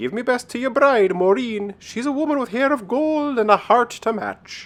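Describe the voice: A man does a put-on character voice with an Irish accent, pitched extremely high and delivered at a moderate pace.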